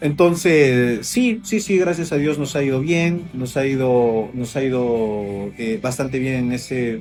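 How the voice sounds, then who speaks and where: A man with a Peruvian accent at a very slow pace, hardly any pauses, lively intonation, and music in the background. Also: medium pitch for a man. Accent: Peruvian Spanish, noticeable to Ecuadorians. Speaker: real estate agent and developer. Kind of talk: interview. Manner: casual, many fillers and repetitions.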